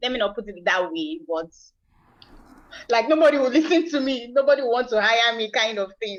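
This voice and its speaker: Here a woman with a Nigerian accent talks at a fairly quick pace and a fairly high pitch. Her intonation is lively, broken by long, frequent pauses. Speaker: aspiring entrepreneur, virtual assistant. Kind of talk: coaching session. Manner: halting.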